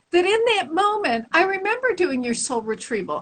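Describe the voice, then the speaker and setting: With a Chicago accent, a woman speaks at an extremely high pitch that swings very widely. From Chicago, US Midwest. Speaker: spiritual teacher. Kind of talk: interview. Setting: live stream audio.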